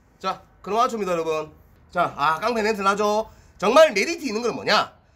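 A man speaks. His pitch swings very widely. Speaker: comic playing a gangster-style seller. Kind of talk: comedy sketch performance.

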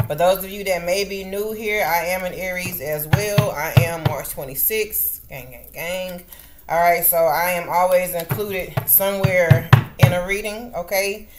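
A woman's fairly slow speech with ordinary pitch variation, music playing in the background. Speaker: tarot reader. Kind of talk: casual vlog chat. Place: home room. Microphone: webcam.

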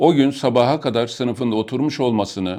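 A man with an unremarkable speaking voice, moderate pace and fairly even intonation, over a quiet background. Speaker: retired army colonel. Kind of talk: reading aloud. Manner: formal.

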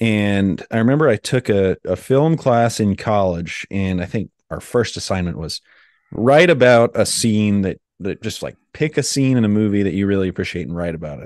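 This is an unremarkable speaking voice with lively intonation. The sound is dry and close, with no echo. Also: man, fairly low pitch for a man, moderate pace, quiet background. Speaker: film podcast co-host. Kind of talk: casual chat.

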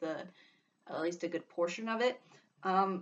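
A woman with a plain, everyday voice speaks at a moderate pace, using fairly low pitch and fairly even intonation. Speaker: vlogger discussing voice actors. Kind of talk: casual vlog commentary. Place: home room. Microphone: webcam.

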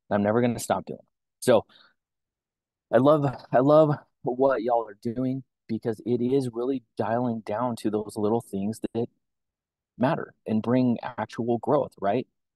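Over a quiet background, a man speaks at a medium pitch and a fairly slow pace with long, frequent pauses, his tone dark and mellow, his intonation fairly even, and the sound dry with no echo. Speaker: company regional representative. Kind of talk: motivational talk. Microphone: video call.

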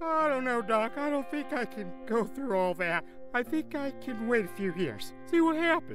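Loud music plays behind a female-sounding, put-on character voice that is whiny and fairly high. The pace is moderate. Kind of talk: comic overacting. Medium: comedy sketch. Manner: anxious, panicky, whiny.

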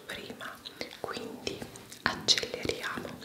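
Speaking in a whisper, a woman keeps her voice hushed. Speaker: beauty vlogger. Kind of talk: ASMR vlog, makeup talk to camera. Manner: whispered. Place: bathroom.

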